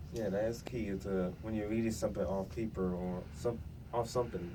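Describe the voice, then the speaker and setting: Someone mumbles with ordinary pitch variation amid audible room echo. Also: man. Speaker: youth radio host. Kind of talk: casual chat. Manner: mumbling.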